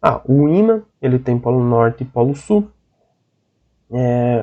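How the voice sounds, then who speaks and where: A man uses an ordinary speaking voice with a fairly high pitch. His intonation is lively. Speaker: teacher. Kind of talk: online lecture.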